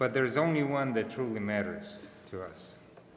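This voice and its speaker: A man with a Russian accent speaks in fairly even intonation amid noticeable background noise and audible room echo. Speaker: father of bat mitzvah girl. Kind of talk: family speech at religious ceremony. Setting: synagogue service.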